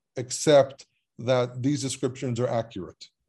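A man talks with an Israeli accent and a dark, mellow tone. The background is quiet. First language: Hebrew. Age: 30s. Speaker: biblical scholar and Hebrew teacher. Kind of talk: casual chat. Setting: video call.

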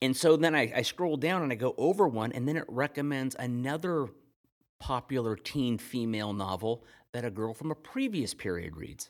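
With an unremarkable speaking voice, a man talks at a moderate pace and medium pitch with lively intonation. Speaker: podcast co-host. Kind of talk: casual chat.

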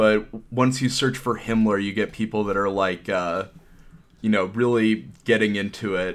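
With an unremarkable speaking voice, a man talks at a moderate pace in a fairly low pitch and fairly even intonation on a very clean recording with a silent background. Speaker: podcast host. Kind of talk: casual chat.

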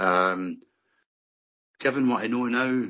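Here a man with an English accent speaks with ordinary pitch variation. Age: 50s. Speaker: vaccine-injured construction worker. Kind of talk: interview.

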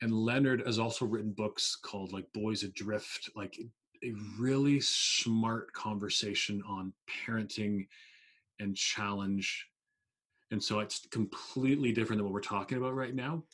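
On a very clean recording with a silent background, an ordinary speaking voice moves at a moderate pace with fairly even intonation. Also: man, medium pitch for a man. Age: 40s. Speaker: public speaker and author on mental health. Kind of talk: interview conversation.

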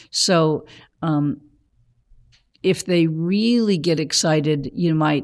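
Very slowly, a woman speaks at a very deep, low pitch with ordinary pitch variation. The background is quiet. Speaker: blind churchgoer. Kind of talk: casual chat. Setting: studio. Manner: halting.

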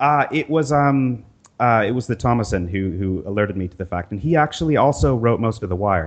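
Talking at a fairly quick pace, a man of medium pitch uses lively intonation. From US, Northern California. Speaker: designer and programmer. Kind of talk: casual chat. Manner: halting, with fillers.

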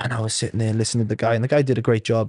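Against a quiet background, a man with a medium pitch sounds somewhat breathy, the sound dry and close with no echo. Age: 20s. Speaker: rugby league player. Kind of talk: casual chat. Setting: studio.

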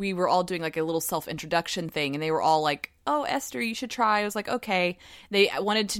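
A woman's animated, fairly low voice with a slight Southern US accent, very fast with hardly any pauses and ordinary pitch variation, on a very clean recording with a silent background. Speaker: tarot podcast co-host. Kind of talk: casual chat. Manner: animated, laughing often.

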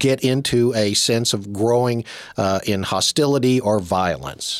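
A man's ordinary speaking voice at a fairly slow pace, medium in pitch with ordinary pitch variation, in a dry, close sound with no echo. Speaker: priest and radio host. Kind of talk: radio interview. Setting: radio studio.

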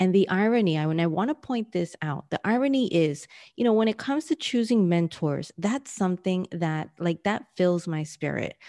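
A woman with an American accent speaks at a moderate pace and medium pitch in a dark, mellow tone, her intonation lively and with hardly any pauses, the sound dry and close with no echo against a quiet background. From New York City. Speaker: business coach. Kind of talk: interview.

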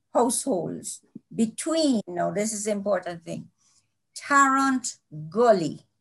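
Her pitch sits at a medium level for a woman. She speaks at a very slow pace. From Jamaica (Kingston). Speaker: children's author. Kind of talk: interview.

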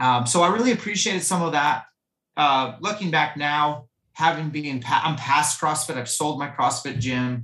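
A man with an ordinary speaking voice, fairly high pitch and ordinary pitch variation at a moderate pace. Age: 40s. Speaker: fitness coach and hunter. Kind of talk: casual chat.

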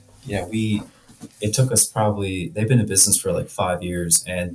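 Noticeable background noise sits behind this man. His voice is fairly low in pitch with ordinary pitch variation. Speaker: HVAC contractor. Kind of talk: casual chat.

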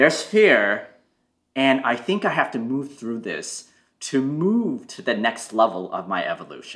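A man with a medium-pitched voice speaks at a fairly slow pace, his loudness rising and falling sharply and his pitch swinging very widely. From Toronto, Canada. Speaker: Chinese medicine practitioner. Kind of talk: casual chat.

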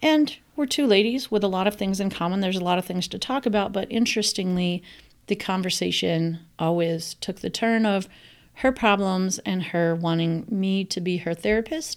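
On a very clean recording with a silent background, a woman with an ordinary speaking voice talks at a moderate pace and medium pitch with ordinary pitch variation. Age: 40s. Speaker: podcast host. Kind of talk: solo podcast monologue.

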